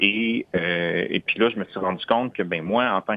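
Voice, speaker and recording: A man with an ordinary speaking voice, fairly low in pitch, with fairly even intonation and a fairly slow pace. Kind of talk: interview.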